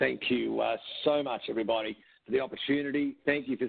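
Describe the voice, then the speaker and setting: At a moderate pace, a man talks in an Australian accent. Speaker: company executive, presenter. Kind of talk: webinar presentation. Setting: webcast. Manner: hesitant fillers.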